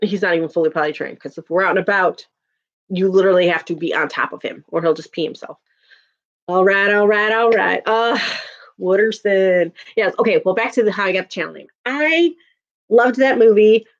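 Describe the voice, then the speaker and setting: A woman with a strong Chicago accent speaks at a fairly quick pace and a medium pitch. Her delivery is animated, with big swings in loudness and ordinary pitch variation. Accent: thick Chicago. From Chicago, US Midwest. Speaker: YouTuber. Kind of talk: casual chat.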